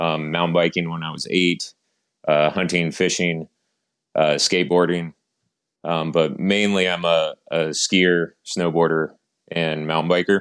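A man with an American accent speaks fairly slowly in a very deep, low voice with monotone, flat intonation. The recording is very clean, with a silent background. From US South, North Carolina mountains. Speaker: packaging program manager in outdoor gear. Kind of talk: interview.

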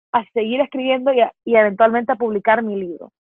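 Speaking at a fairly quick pace, a woman with a Honduran accent has a fairly high pitch. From Honduras. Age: 20s. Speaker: poet and author, university student. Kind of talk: interview.

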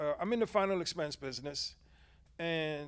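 High in pitch, a man speaks at a moderate pace. His pitch variation is ordinary. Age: 50s. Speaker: insurance agent, former hospice chaplain. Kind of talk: casual interview. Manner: halting.

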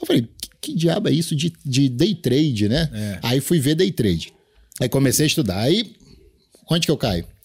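Speaking at a moderate pace with long, frequent pauses, a man uses a fairly high pitch with very wide swings and vocal fry. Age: 40s. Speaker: day trader and trading mentor. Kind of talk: casual chat.

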